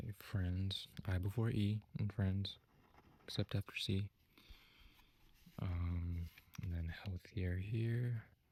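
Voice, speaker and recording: Soft-spoken and somewhat breathy, a man with a fairly low pitch and a dark, mellow tone speaks at a very slow pace with fairly even intonation and long, frequent pauses. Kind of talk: ASMR teacher roleplay, soft-spoken feedback.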